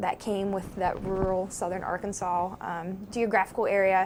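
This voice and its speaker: A woman speaks at a fairly slow pace with a slight southeastern Ohio accent. Her pitch is medium. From southeastern Ohio, Meigs County. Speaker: psychology professor. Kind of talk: interview.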